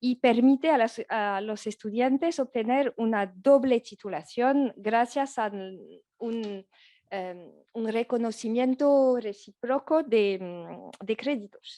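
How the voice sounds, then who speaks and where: A woman with a French accent speaks very slowly in a dark, mellow tone at a fairly high pitch with ordinary pitch variation, her voice dry and close with no echo. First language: French (speaking Spanish). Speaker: law professor. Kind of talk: academic conference talk. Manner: halting, many fillers and restarts.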